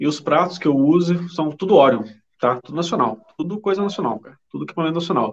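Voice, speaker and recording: A man speaks in a plain, everyday voice at a fairly high pitch. His intonation is lively and his pace fairly quick. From Brazil, interior of São Paulo state (Vale do Paraíba). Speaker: metal band drummer. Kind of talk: casual chat.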